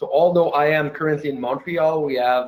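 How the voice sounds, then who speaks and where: Fairly high in pitch for a man, this voice carries a slight French Canadian accent and ordinary pitch variation. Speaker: software company founder. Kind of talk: webinar presentation. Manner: hesitant, many fillers.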